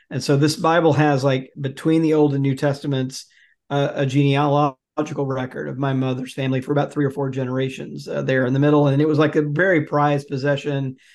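A man's fairly high, monotone, flat voice at a very fast pace over a quiet background. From US South, Jackson, Mississippi. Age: 50s. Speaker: author and religion researcher. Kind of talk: interview.

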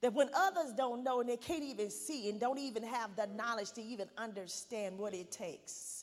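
A woman speaks with lively intonation at a fairly high pitch, hardly pausing at all. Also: moderate pace. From Arkansas. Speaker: pastor's wife, guest minister. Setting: church. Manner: loud; fervent, rhythmic preacher cadence, rising with repeated 'I pray' declarations.

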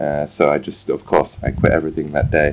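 A man is speaking. His pace is moderate. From Scotland and England, army childhood. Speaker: chef. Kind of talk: casual interview. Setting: outdoors.

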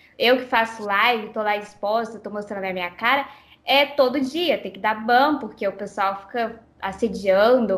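A woman with an ordinary speaking voice and a fairly high pitch talks at a moderate pace with ordinary pitch variation. Her loudness swings widely. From Brazilian parents, born in Japan. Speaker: game streamer. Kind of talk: interview. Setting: Skype call.

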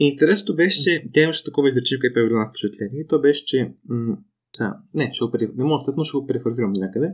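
A man talks at a very fast pace. His voice sits at medium pitch with lively intonation. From Bulgaria. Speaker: podcast host. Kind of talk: casual discussion.

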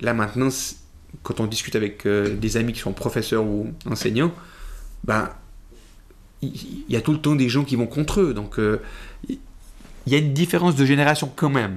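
This man talks at a moderate pace, using long, frequent pauses. His pitch is medium and his intonation lively. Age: 40s. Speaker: appliance technician and magician. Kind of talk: interview conversation. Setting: coworking space recording. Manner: halting, many repetitions.

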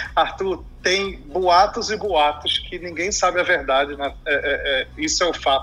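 A man talks at a fairly slow pace. Noticeable noise sits in the background. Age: 30s. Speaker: fintech executive, crypto expert. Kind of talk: interview. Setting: remote recording over computer.

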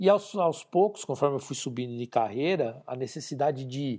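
Speaking at a moderate pace, a man has a medium pitch and ordinary pitch variation. His tone is dark and mellow, on a very clean recording with a silent background. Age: 50s. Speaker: business consultant. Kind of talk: interview. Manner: halting, with frequent repeated words.

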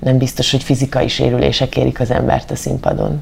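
Noticeable background noise is present throughout. The voice belongs to a woman. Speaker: actress and amateur runner. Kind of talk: interview.

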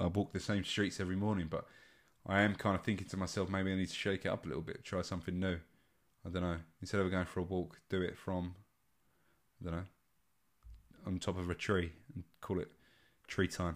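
In a relaxed tone, a man with a very deep, low pitch talks at a fairly quick pace in a monotone, flat intonation, leaving long, frequent pauses on a very clean recording with a silent background. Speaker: podcast host. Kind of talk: solo casual podcast monologue. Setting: sitting in a conservatory at home, recording alone. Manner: relaxed, candid, conversational, swears casually.

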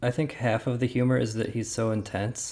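A soft-spoken man talks at a moderate pace and medium pitch. His tone is dark and mellow. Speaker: podcast co-host. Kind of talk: casual chat.

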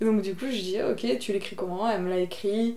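Over noticeable background noise and audible room echo, a woman with a fairly high voice speaks at a moderate pace with fairly even intonation. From Bordeaux, southwest France. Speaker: illustrator. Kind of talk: casual interview. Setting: at her home.

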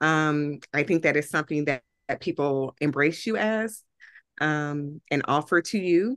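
Over a quiet background, a woman with an American accent speaks at a very deep, low pitch. Her tone is animated and her pace fairly slow. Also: ordinary pitch variation, dry, close sound with no echo. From US Midwest, Anderson, Indiana. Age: 40s. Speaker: social justice activist and consultant. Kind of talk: casual interview conversation. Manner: animated, laughs often.

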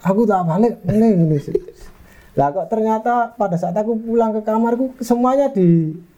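At a moderate pace, a man with a high pitch speaks in a dark, mellow tone with ordinary pitch variation. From Malang, East Java, Indonesia. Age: 30s. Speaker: footballer. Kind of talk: casual interview.

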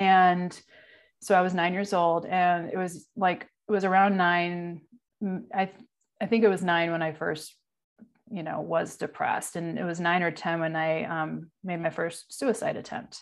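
At a moderate pace, a woman with a normal speaking voice talks at a fairly low pitch with fairly even intonation. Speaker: podcaster. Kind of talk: casual interview conversation.

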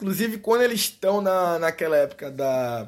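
The man's animated voice sits high in pitch and moves in very wide swings, captured on a very clean recording with a silent background. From Brazil, Recife. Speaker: podcast host. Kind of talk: casual monologue. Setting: home recording in bedroom.

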